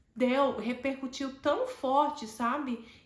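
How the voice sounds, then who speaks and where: The speaker is a woman with a high voice. She talks very slowly. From Brazil, Alagoas (Maceió). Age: 40s. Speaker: educator sharing personal story. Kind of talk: personal testimony monologue.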